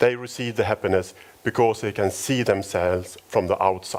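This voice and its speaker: A man's fairly low voice with a Swedish accent, a fairly slow pace and ordinary pitch variation. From Sweden, Stockholm. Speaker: company founder. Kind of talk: conference talk. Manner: halting.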